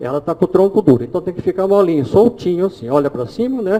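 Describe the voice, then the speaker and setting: Very wide pitch swings over noticeable background noise. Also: man. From Brazil. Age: 60s. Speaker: holistic therapist giving a talk. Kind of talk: live demonstration lecture.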